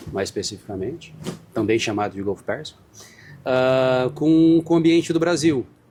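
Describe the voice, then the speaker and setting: Moving at a moderate pace, the speaker has a dark, mellow tone. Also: man, medium pitch for a man, lively intonation. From Brazil. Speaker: marine scientist, professor. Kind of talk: interview. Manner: hesitant, with fillers.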